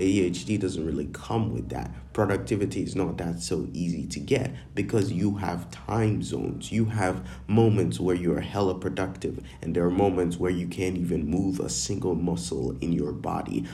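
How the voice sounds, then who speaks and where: Vocal fry marks this man's very deep, low voice. His tone is dark and mellow, and his intonation lively. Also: moderate pace. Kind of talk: angry rant. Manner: indignant, fed-up, words tumbling out in frustration.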